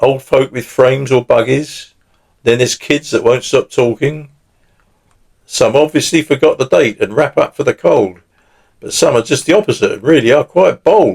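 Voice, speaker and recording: Moderately paced speech from a man, dry and close-sounding without any echo. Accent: southern English. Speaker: poet. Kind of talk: poetry reading.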